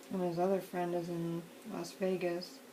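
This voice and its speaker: Quiet and relaxed in tone, a woman speaks at a moderate pace. Noticeable background noise is present. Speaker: crafting video maker. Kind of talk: casual crafting tutorial chat. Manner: relaxed, meandering.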